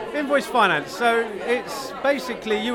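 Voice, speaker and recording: With a British accent, a man talks at a moderate pace and ordinary pitch variation. Crowd noise can be heard in the background. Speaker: invoice finance businessman. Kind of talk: interview.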